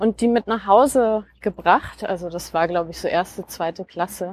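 A woman speaks at a moderate pace with fairly even intonation, the sound dry and close with no echo. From Franconia, Germany (near Nuremberg). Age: 40s. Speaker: podcast guest. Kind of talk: casual conversation. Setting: outdoors, walking in a park. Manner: many filler sounds (äh).

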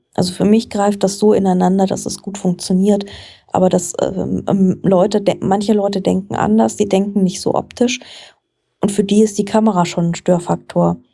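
Somewhat breathy, a woman with a dark, mellow tone and medium pitch speaks at a moderate pace in fairly even intonation. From Frankfurt, Germany. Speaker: journalist and book podcaster. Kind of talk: casual interview chat.

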